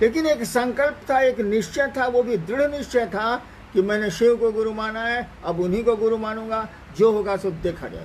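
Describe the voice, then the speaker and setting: Over noticeable background noise, a man speaks with lively intonation. His pitch is extremely high. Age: 70s. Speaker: spiritual guru. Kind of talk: spiritual Q&A talk.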